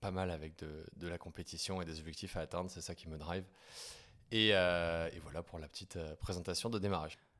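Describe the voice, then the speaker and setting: At a fairly quick pace, a man talks in a very deep, low pitch with fairly even intonation. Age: 30s. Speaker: startup founder and CEO. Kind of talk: interview. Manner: hesitant, many fillers.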